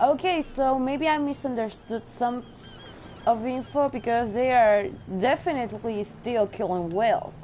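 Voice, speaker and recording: A woman's high-pitched voice with a non-native accent, a fairly slow pace, long, frequent pauses, and ordinary pitch variation. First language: not English. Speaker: gameplay streamer. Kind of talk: let's play commentary. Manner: casual, chatty.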